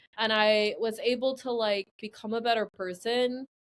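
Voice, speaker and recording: A woman with an American accent speaks at a high pitch. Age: 30s. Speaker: guest, former grad student. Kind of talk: casual conversation.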